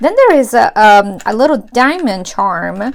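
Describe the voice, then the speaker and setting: Her voice is high for a woman, and this woman speaks with lively intonation. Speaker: planner youtuber. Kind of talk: unboxing tutorial. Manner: animated. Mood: enthusiastic, warm.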